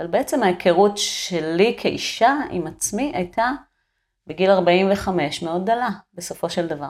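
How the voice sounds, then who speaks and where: Delivered at a fairly slow pace, a plain, everyday voice carries lively intonation. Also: woman, medium pitch for a woman. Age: 40s. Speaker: sculptor and art teacher. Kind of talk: casual interview conversation.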